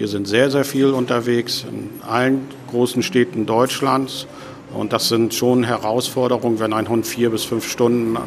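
Through noticeable background noise, a man talks at medium pitch and a moderate pace with fairly even intonation. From Hamburg, northern Germany. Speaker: chair of a guide dog association, blind. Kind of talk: interview. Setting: restaurant.

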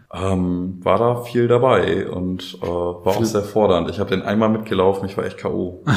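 A man with a fairly low pitch talks at a moderate pace with hardly any pauses and fairly even intonation. Noticeable background noise and audible room echo are present. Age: 20s. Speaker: youth participation facilitator, trained educator. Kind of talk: casual interview chat. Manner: hesitant, many fillers.

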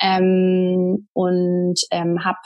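A woman's medium-pitched voice over a quiet background. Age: 30s. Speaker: traveller sharing her sabbatical experience. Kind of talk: interview. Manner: hesitant with many fillers.

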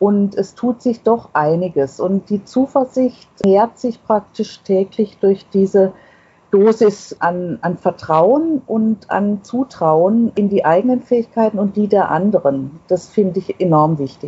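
Medium-pitched, somewhat breathy speech from a woman at a very slow pace with lively intonation. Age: 60s. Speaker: author of a self-portrait booklet. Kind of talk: interview. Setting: remote connection.

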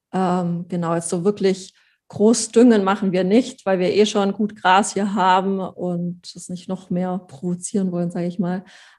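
Fairly slow delivery with monotone, flat intonation. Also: woman, medium pitch for a woman. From Allgäu, Bavaria/Swabia, southern Germany. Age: 20s. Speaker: pony owner and breeder. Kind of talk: casual interview chat.

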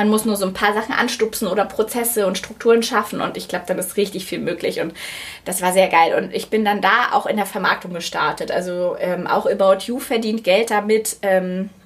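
A woman talks at a moderate pace in a plain, everyday voice. Her medium pitch holds a fairly even intonation. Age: 30s. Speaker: media project lead, business school alumna. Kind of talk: casual interview.

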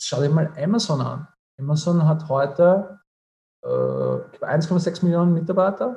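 A man with a dark, mellow tone and a fairly high pitch speaks at a very slow pace with ordinary pitch variation. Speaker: entrepreneur and finance advisor. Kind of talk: interview.

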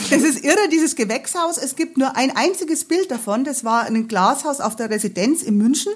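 Her intonation lively, a woman talks at a fairly quick pace. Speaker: travel guide author and hiking guide. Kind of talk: casual chat.

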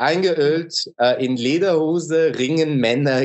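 A man with a slight Swiss German accent talks at a very slow pace in a fairly high pitch. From Switzerland. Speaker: musician. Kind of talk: casual interview chat. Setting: remote call from Istanbul.

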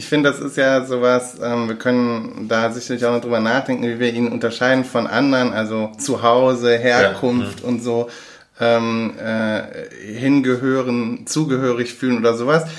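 Amid noticeable background noise, a man speaks at a moderate pace with a medium pitch and a monotone, flat intonation. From Germany, Aachen (Rhineland). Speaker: podcast co-host. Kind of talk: casual chat. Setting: same room, recorded together. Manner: halting, many fillers.

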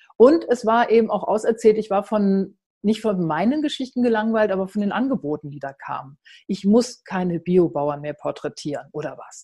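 A dark, mellow tone, somewhat breathy, with lively intonation. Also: woman. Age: 50s. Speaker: journalist and founder of a women's platform. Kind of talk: online talk presentation.

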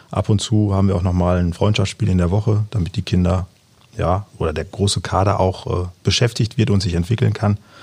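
A man talks fairly quickly at a fairly low pitch, and he sounds somewhat breathy. His loudness is very even, and his intonation is fairly even. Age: 40s. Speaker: amateur youth football coach. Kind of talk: casual interview.

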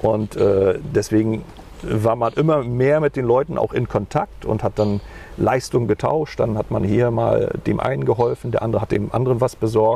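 A man at medium pitch and a moderate pace, with ordinary pitch variation, very even loudness and noticeable background noise. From East Germany (GDR), Mecklenburg-Vorpommern. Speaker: politician, former radio presenter. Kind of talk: interview. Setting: outdoors on a bench by a lake. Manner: hesitant, repetitive.

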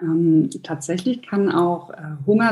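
A woman with a fairly low pitch and a dark, mellow tone speaks somewhat breathily at a fairly slow pace. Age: 30s. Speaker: nutritionist and hypnosis coach. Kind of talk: interview.

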